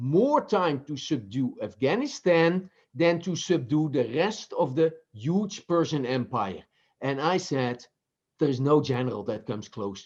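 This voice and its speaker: With a Dutch accent, a man speaks at a fairly high pitch and a moderate pace, his pitch swinging very widely. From Netherlands. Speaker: business professor and author. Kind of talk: interview. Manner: halting, with repetitions.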